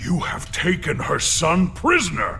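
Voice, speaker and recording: A cartoonish character voice at a fairly slow pace over clear background noise. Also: man. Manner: formal, stiff, literal phrasing.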